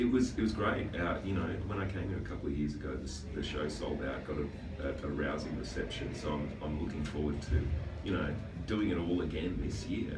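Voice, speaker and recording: Background music plays. Over it, a man talks at a fairly quick pace. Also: ordinary pitch variation. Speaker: guest. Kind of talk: interview answer. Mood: jokey, relaxed. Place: studio.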